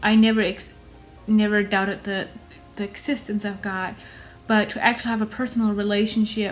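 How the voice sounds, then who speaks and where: With music in the background, a woman speaks at a fairly quick pace and fairly high pitch, with monotone, flat intonation and long, frequent pauses. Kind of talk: casual talk to camera.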